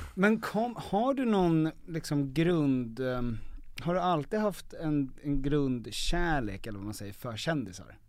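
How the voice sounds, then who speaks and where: This man's voice sits fairly high and swings very widely in pitch. He talks at a fairly slow pace. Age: 20s. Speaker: podcast host. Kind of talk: casual chat.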